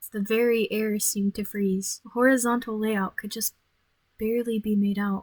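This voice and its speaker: In a dry, close sound with no echo, a woman with a fairly high, somewhat breathy voice speaks at a moderate pace in a monotone, flat intonation. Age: 20s. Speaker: gaming YouTuber. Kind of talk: reading game text aloud with commentary. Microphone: voice quieter than game audio.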